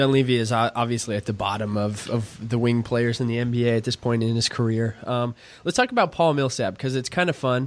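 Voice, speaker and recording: A man with an unremarkable speaking voice talks at a fairly quick pace, with hardly any pauses. His pitch sits in the medium range and his intonation stays fairly even. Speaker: podcast host. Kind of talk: casual sports talk.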